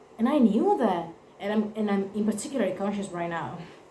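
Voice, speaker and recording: A woman with an Italian accent and lively intonation, noticeable background noise and audible room echo. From Italy. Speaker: vlogger. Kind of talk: personal testimony to camera. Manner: halting, self-correcting.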